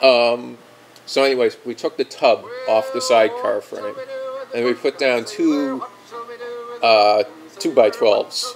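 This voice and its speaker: Music plays in the background as a man delivers his words at a fairly slow pace. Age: 20s. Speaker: motorcycle vlogger. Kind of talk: casual monologue.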